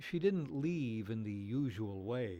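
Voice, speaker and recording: A man with very wide pitch swings over music in the background. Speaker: TV news reporter. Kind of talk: TV news feature narration.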